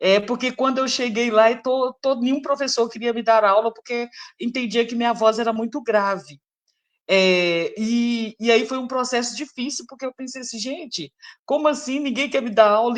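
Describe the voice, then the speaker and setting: A woman talks with a high pitch, a moderate pace and ordinary pitch variation. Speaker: singer and voice researcher. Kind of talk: live interview talk. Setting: livestream.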